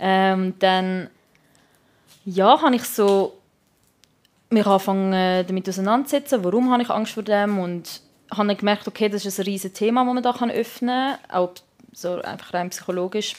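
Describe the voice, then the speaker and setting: A woman with a Swiss accent speaks at a moderate pace and medium pitch, with ordinary pitch variation. Long, frequent pauses appear throughout this very clean recording with a silent background. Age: 20s. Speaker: art student. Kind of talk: personal storytelling. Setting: beauty salon during hair removal.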